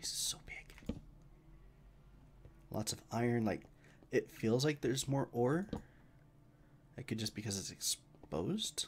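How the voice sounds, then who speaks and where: With an American accent, the speaker moves at a fairly slow pace, leaving long, frequent pauses. Loudness rises and falls in big swings. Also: man. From US West, Idaho. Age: 30s. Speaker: gaming streamer. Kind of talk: live gameplay commentary. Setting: live stream. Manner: casual, conversational.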